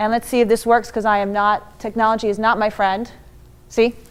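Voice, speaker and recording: Loud and at a fairly quick pace, a woman speaks in a New York accent. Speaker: motivational speaker. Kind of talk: conference talk. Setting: stage with audience. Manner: fast.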